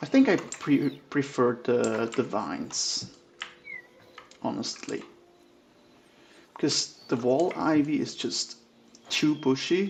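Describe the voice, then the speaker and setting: The speech moves at a very slow pace with long, frequent pauses. Noticeable background noise sits behind it. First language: German. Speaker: gaming streamer. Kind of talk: casual gameplay commentary. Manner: relaxed, thinking aloud.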